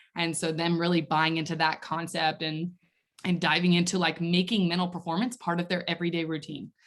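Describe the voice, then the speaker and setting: A woman's fairly low voice with a slight Southern US accent on a very clean recording against a silent background. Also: fairly quick pace. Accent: slight Southern twang. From Nashville, Tennessee, US South. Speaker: mental performance coach. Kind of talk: podcast interview. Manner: animated.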